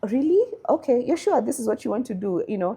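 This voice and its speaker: Over a quiet background, a woman speaks in a Kenyan accent with a dark, mellow tone. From Kenya, Nairobi. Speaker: machine learning engineer. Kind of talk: interview.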